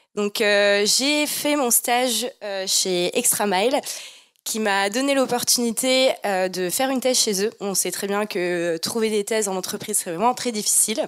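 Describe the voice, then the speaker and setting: A woman speaks fairly slowly in a normal speaking voice, fairly high in pitch, with ordinary pitch variation. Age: 20s. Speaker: PhD student engineer. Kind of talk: presentation to students.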